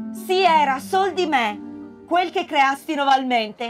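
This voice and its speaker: A woman speaks at a very slow pace with lively intonation while music plays in the background. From Italy. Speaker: stage actress and theatre director. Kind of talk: poetry reading. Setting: outdoors, public place.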